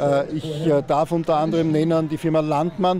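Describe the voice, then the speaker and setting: The delivery is monotone, with flat intonation. Noticeable background noise runs underneath. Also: man, dry sound with no echo. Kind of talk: interview answer. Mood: pleased, promotional. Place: open country. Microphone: handheld.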